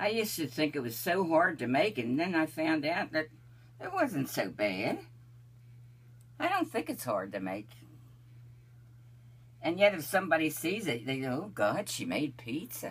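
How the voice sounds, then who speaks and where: With vocal fry and a very deep, low pitch, a woman talks at a moderate pace, using very wide pitch swings and long, frequent pauses. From Italian-American from Delaware. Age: 80s+. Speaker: home pizza maker. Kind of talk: casual conversation while cooking. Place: kitchen. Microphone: camera far.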